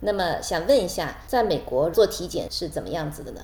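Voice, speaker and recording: A woman's moderately paced speech carries an audible echo from the room. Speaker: podcast host and physician. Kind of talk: scripted outro; interview.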